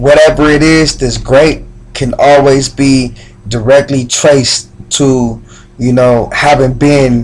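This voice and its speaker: A man at a medium pitch, very slow and monotone, over noticeable background noise. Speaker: spoken word poet. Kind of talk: casual talk to camera.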